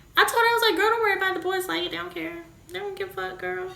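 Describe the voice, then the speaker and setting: A woman talks in a space with audible room echo and noticeable background noise. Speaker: vlogger, mother of premature baby. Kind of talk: casual storytelling vlog. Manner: loud; animated.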